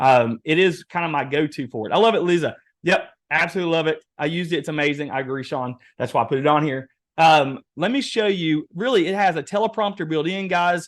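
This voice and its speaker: A man with an Eastern Kentucky accent talks very fast in a fairly high pitch and an animated tone against a quiet background. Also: lively intonation. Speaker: webinar presenter, real estate AI trainer. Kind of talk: webinar workshop demo.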